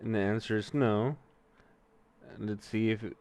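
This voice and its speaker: A man speaks with a Mexican accent. His pitch is fairly low, with ordinary variation. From US, Mexican-American family. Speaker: streamer learning to code. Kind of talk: live-stream coding tutorial. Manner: casual, halting with fillers.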